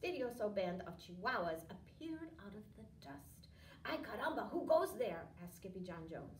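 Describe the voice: The clip is plain reading aloud. Nothing beyond the words being read.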